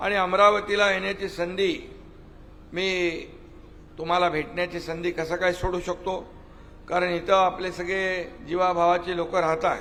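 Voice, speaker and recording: Speaking in a monotone, flat intonation, a man has a high pitch. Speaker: politician. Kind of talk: political rally speech. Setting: outdoors. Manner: formal, declamatory.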